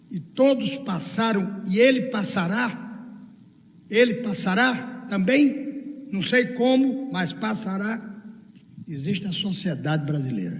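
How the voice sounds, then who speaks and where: In a room with audible echo and noticeable background noise, a man speaks very slowly. His high voice has lively intonation. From Brazil, Northeast (Paraíba). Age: 80s+. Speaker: law professor and speaker. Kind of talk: lecture with audience Q&A. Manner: animated.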